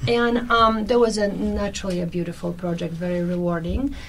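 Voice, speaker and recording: A woman with a Polish accent speaks in a medium pitch with ordinary pitch variation and audible room echo. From Poland. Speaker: actress and translator. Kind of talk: radio interview. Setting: radio studio.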